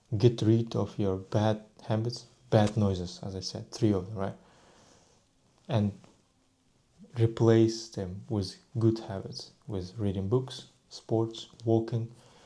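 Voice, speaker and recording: With a Russian accent, a man of fairly low pitch and dark, mellow tone speaks at a very slow pace, with fairly even intonation and long, frequent pauses. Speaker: vlogger. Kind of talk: casual monologue. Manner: halting.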